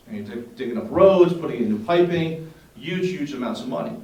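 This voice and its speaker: Over noticeable background noise and audible room echo, a man with an American accent talks very fast at a fairly high pitch with lively intonation. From New Jersey. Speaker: water resource expert. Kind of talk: presentation. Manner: casual with many fillers.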